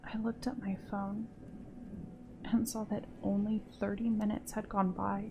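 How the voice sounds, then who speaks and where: At a fairly slow pace, a woman speaks. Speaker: horror story narrator. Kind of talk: horror story narration. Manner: soft-spoken.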